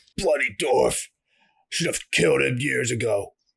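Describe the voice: This is a put-on character voice. It sounds gravelly and raspy. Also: man, moderate pace.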